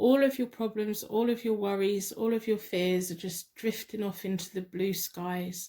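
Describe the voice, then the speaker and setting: A woman with an English accent speaks at a fairly slow pace in a fairly high pitch. Her tone is dark and mellow, with fairly even intonation. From England. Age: 40s. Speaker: tarot card reader. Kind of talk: tarot reading with guided meditation. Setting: home spare bedroom.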